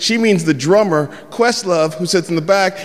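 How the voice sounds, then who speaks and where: A man with a high voice and an American accent, talking at a fairly quick pace over noticeable background noise. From San Francisco, US West Coast. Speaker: comedian. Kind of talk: stand-up storytelling. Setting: stage with audience.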